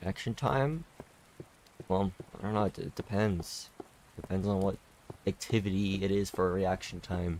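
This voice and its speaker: A soft-spoken man with a fairly low pitch, ordinary pitch variation, a moderate pace and long, frequent pauses. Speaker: gaming streamer. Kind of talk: casual chat. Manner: slurred, stumbling speech.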